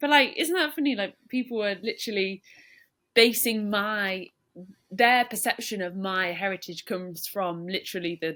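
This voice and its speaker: A woman with a British accent speaks with lively intonation and a bright, sharp tone. The recording is very clean, with a silent background. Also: medium pitch for a woman, moderate pace. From England. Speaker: professional footballer. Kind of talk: interview. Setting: at home in her room.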